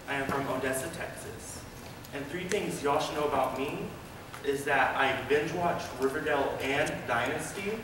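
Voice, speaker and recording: Over noticeable background noise and audible room echo, a man talks at a moderate pace with fairly even intonation. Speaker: auditioning actor. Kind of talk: audition slate and performed monologues. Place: hall. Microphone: camera far.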